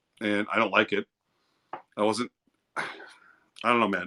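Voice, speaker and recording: A man with an American accent speaks in a bright, sharp tone, the sound dry and close with no echo. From East St. Louis, Illinois. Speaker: livestreamer. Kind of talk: casual chat. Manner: loud; animated.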